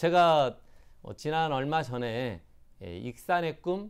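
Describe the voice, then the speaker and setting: A man talks at a fairly slow pace on a very clean recording with a silent background. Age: 40s. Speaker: local politician, mayoral candidate. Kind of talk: interview. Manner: halting, many fillers.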